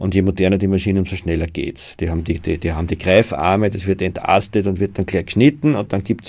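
A man talks at a very fast pace with a dark, mellow tone and a fairly low pitch. His intonation stays fairly even in a very clean recording with a silent background. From Austria, Waldviertel (Lower Austria). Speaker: author and forest conservationist. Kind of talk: interview. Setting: studio.

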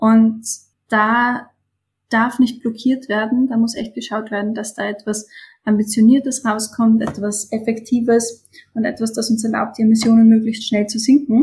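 The voice is somewhat breathy, with monotone, flat intonation, at a moderate pace. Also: woman, fairly high pitch for a woman. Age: 20s. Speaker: climate activist, student. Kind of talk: interview.

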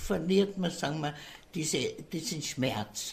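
At a very slow pace, a woman talks in a somewhat breathy voice with fairly even intonation. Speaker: care home resident. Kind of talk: interview.

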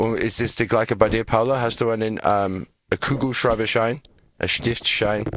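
A man at a medium pitch and a moderate pace, monotone and flat in intonation. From Australia. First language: English (speaking German). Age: 40s. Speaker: radio show host. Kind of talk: casual chat with children. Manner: halting.

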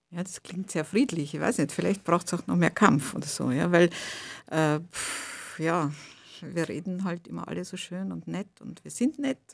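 A woman speaks at a moderate pace with fairly low pitch and ordinary pitch variation. Vocal fry comes through, and her loudness swings widely. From Russia-born, raised in Austria (Vienna). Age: old. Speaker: journalist, translator and writer. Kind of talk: radio interview. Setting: studio.

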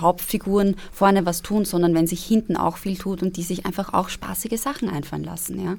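A woman speaks in a plain, everyday voice at a fairly low pitch. Her pace is moderate and her intonation fairly even. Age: 20s. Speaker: actress. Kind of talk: casual chat. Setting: studio.

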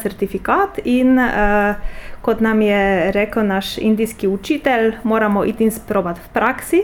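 A woman's fairly high voice with a Polish accent and ordinary pitch variation. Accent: Polish accent in Slovene. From Poland. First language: Polish (speaking Slovenian). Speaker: translator and university project officer. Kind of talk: interview. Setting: office.

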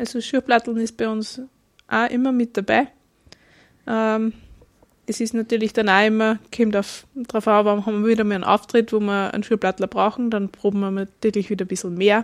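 Delivered in a flat monotone at a fairly quick pace with long, frequent pauses, the speech sounds dry and close with no echo on a very clean recording with a silent background. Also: woman, fairly high pitch for a woman. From Upper Austria, Kirchdorf an der Krems. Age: 30s. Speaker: folk dancer, farmer and bookkeeper. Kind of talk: casual interview. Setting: wine bar.

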